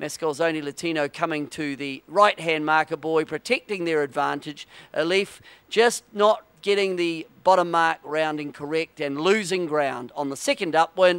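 An ordinary speaking voice from a man, fairly high in pitch with ordinary pitch variation, at a moderate pace, in a very clean, silent-background recording with a dry, close sound and no echo. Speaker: sailing race commentator. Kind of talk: live sports commentary on a sailing race, brisk play-by-play narration. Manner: clipped, authoritative, technical.

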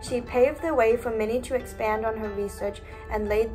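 Clear music plays in the background. A woman talks over it at a fairly quick pace. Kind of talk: school presentation. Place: home room. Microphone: webcam.

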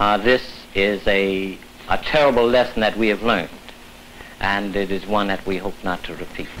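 Fairly low-pitched male speech with fairly even intonation, over noticeable background noise. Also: moderate pace. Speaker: civil rights organization director. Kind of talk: interview.

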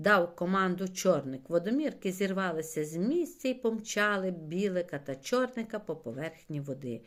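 The intonation is lively. Text is read aloud in a natural voice.

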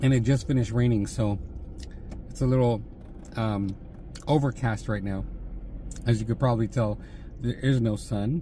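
A somewhat breathy man with fairly even intonation and long, frequent pauses, in a dry sound with no echo over light background noise. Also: moderate pace. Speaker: food vlogger. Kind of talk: casual mukbang vlog chat. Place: car. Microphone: phone near.

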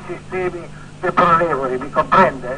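Over noticeable background noise, a man speaks in a raised, projected voice. His pitch swings very widely. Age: 80s+. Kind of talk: interview answer. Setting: phone line.

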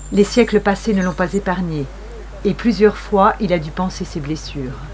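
A woman is speaking. Her pace is fairly slow. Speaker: documentary narrator. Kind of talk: scripted narration.

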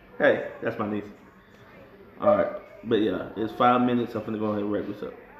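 A man's fairly quick speech broken by long, frequent pauses, with audible room echo and light background noise. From Atlanta. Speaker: rapper and video reviewer; video reviewer. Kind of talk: casual vlog commentary. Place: home room. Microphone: phone near.

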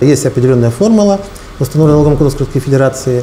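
Light background noise sits behind a man speaking at a fairly high pitch with ordinary pitch variation. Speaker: tax official. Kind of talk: interview. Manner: halting, formal. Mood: calm, official, explanatory. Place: office.

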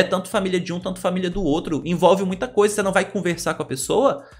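This man's voice is high-pitched. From Brazil. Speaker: celebrity gossip youtuber. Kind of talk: casual commentary, reading news aloud. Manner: animated. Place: home room.

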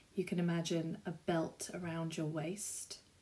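Somewhat breathy, a woman's fairly low voice carries a dark, mellow tone as she speaks at a fairly slow pace. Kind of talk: tutorial. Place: home room. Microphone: camera far.

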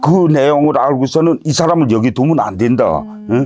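At a moderate pace, a man speaks in a dark, mellow tone with lively intonation. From North Korea, Hamhung. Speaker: North Korean defector. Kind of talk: interview storytelling.

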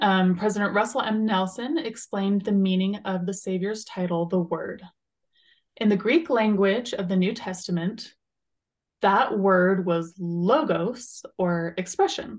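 A somewhat breathy woman speaks at a moderate pace against a quiet background. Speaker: religious podcast co-host. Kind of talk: casual chat. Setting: video call. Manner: laughs often. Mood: calm, earnest. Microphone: video call.

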